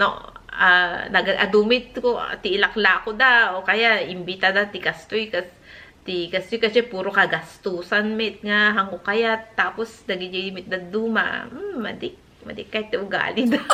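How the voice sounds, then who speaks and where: Fairly slow, fairly level speech from a woman at a medium pitch. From northern Philippines (Ilocos region). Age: 40s. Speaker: lifestyle vlogger. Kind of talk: casual vlog talk. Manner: halting, with many fillers and restarts.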